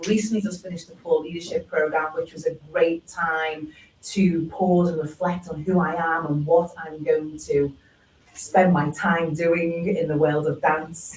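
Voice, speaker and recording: A woman with a Liverpool accent, fairly low-pitched, fairly slow, and fairly even in intonation, over noticeable background noise. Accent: Scouse. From Liverpool, England. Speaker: dance practitioner. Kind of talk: panel discussion.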